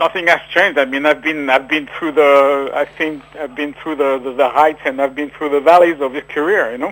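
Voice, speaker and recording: With a French accent, a man talks at a fairly quick pace and a fairly high pitch, with fairly even intonation and hardly any pauses. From France. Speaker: author. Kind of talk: radio interview. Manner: halting.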